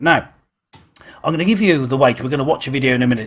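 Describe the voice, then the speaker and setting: Lively intonation marks the speech of a man with a British accent. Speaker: online church show host. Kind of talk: casual chat. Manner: halting.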